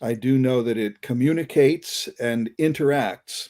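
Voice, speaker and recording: A man's voice with a dark, mellow tone. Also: very clean recording, silent background. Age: 60s. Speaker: concert musician and experiencer. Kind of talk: casual chat.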